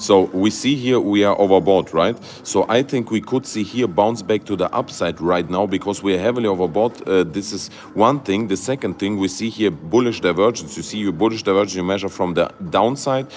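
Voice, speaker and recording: There is noticeable background noise as a man with a fairly low pitch talks at a fairly quick pace with ordinary pitch variation. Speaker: crypto YouTuber. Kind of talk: livestream market analysis. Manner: halting, many fillers and restarts; animated.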